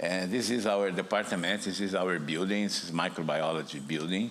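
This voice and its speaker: A man with a Brazilian accent speaks at a fairly low pitch and moderate pace, with ordinary pitch variation and audible room echo. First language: Portuguese. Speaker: virology professor. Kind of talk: conference talk. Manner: halting, with repetitions.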